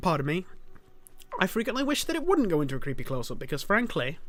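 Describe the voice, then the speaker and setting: With a British accent, a man talks at a fairly quick pace, his pitch swinging very widely. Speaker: gaming YouTuber. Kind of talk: let's play commentary. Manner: fast; animated.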